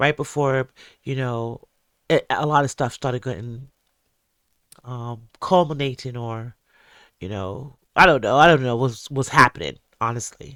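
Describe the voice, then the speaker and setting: A man's bright, sharp voice at a fairly slow pace, with long, frequent pauses, big swings in loudness, and a dry, close sound with no echo on a very clean recording against a silent background. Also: medium pitch for a man, ordinary pitch variation. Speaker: podcast host and musician. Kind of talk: commentary and reaction podcast. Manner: casual, filler-heavy.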